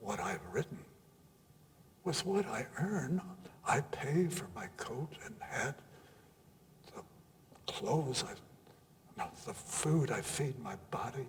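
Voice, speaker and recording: Very slow speech with very wide pitch swings plays over noticeable background noise. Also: man. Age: 80s+. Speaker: poet reciter. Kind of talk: poetry reading. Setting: live audience at arts center.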